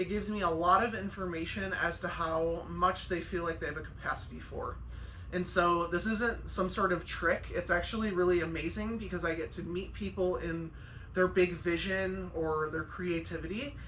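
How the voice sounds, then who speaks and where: A woman talks at a moderate pace. Noticeable background noise and audible room echo surround her voice. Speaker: chiropractor and life coach. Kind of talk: casual vlog monologue. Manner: loud and emphatic; animated, conversational with fillers.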